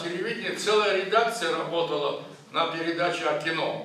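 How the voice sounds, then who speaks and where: The man's intonation stays fairly even. His voice carries audible room echo. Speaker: film industry figure. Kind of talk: speech at film screening. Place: hall.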